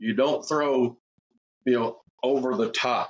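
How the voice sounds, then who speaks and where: This is a plain, everyday voice from a man, pitched fairly high. He speaks at a fairly slow pace. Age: 60s. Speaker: podcast host, football coach. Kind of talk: casual interview.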